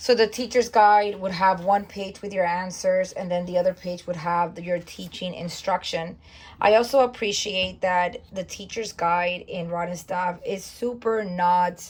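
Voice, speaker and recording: Somewhat breathy and at medium pitch, a woman speaks at a fairly slow pace with fairly even intonation and hardly any pauses. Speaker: homeschooling parent and curriculum reviewer. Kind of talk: curriculum flip-through tutorial. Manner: casual with fillers.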